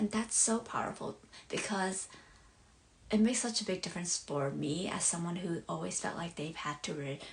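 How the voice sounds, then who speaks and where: The speaker has a Southeast Asian accent and talks at a moderate pace. Pitch varies in an ordinary way. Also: woman, fairly low pitch for a woman. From born abroad, Hmong community. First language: Hmong. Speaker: life coach. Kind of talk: live stream monologue. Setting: bedroom, live stream. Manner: halting, many fillers.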